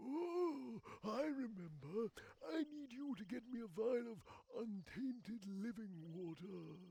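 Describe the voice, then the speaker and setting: Using a put-on character voice, a man speaks fairly slowly at a high pitch with very wide pitch swings. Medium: machinima. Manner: rambling, folksy.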